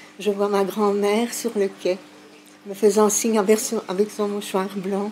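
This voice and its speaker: A woman's medium-pitched voice at a fairly slow pace, over noticeable background noise. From Sicily, moved to Belgium aged 2. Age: 60s. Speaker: elderly migration witness. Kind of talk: testimony. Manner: hesitant, with fillers.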